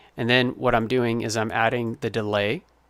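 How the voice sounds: The pitch barely moves as this man talks. His tone is clear, smooth and fairly bright. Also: medium pitch for a man, moderate pace.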